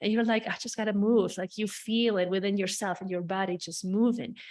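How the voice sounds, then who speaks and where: Against a quiet background, the speaker uses an animated tone with a non-native accent. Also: woman. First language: not English. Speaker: spiritual healer. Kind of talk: podcast monologue.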